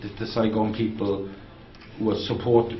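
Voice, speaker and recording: A man's medium-pitched, flat monotone over noticeable background noise. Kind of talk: interviewer talk.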